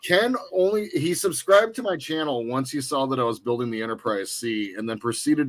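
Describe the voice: Lively intonation marks this man's speech. He talks at a moderate pace.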